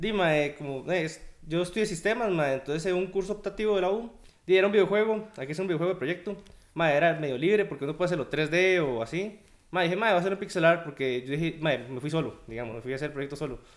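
A man with a Costa Rican accent talks at a very fast pace in a high voice. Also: ordinary pitch variation. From Costa Rica, Guadalajara. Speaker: pixel artist. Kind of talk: casual chat.

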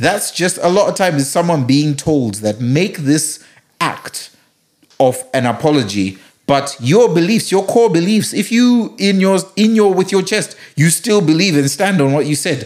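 At a fairly slow pace, a man speaks high-pitched with very wide pitch swings but very even loudness. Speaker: podcast co-host. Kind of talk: casual chat.

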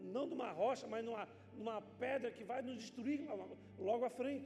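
At a fairly slow pace, a man with an extremely high pitch speaks with ordinary pitch variation, with audible room echo and noticeable background noise. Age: 50s. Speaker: pastor. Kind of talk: sermon.

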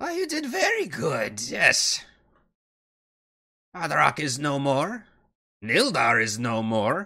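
In a put-on character voice, a man sounds raspy and fairly high-pitched, speaking at a fairly slow pace with long, frequent pauses. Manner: cold, matter-of-fact, condescending.

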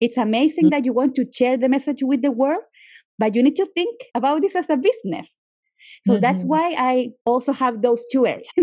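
This woman talks at a fairly quick pace in a Spanish accent, her voice high-pitched with a dark, mellow tone, ordinary pitch variation and very even loudness. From Chile. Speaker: yoga teacher and journalist. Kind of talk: interview.

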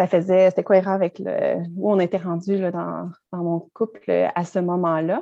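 With a Quebec accent, a woman speaks fairly slowly at a medium pitch, her tone dark and mellow, her intonation monotone and flat. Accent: Québécois French. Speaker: mindfulness teacher and author. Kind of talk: interview.

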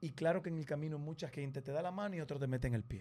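A man with a fairly high pitch speaks at a very fast pace in a dark, mellow, somewhat breathy tone, his pitch rising and falling in an ordinary way. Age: 30s. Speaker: television presenter. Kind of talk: casual chat.

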